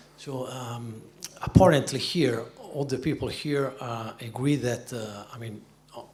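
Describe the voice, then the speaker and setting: Noticeable noise runs in the background. The speaker's intonation is fairly even. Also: man. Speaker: panel moderator. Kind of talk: panel moderation.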